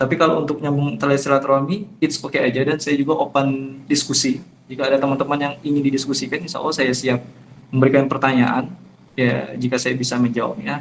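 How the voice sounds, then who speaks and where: Speaking very fast, a man uses a fairly high pitch. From Jambi, Sumatra, Indonesia. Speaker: Islamic preacher. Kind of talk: online religious talk. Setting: online forum. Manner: somewhat hard, firm tone.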